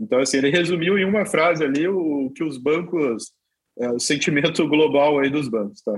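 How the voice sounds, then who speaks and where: At a moderate pace, a man with a normal speaking voice talks at a fairly high pitch with ordinary pitch variation. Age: 30s. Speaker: crypto exchange executive. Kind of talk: interview.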